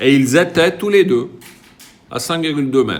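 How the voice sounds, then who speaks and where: Audible room echo surrounds this voice. A man speaks at a fairly slow pace with lively intonation. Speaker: physics teacher. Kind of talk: lecture. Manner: casual.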